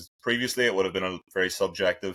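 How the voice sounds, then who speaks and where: A man speaks in an Irish accent, recorded very cleanly against a silent background. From Ireland. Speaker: sports scientist. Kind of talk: interview. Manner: conversational, with hesitations.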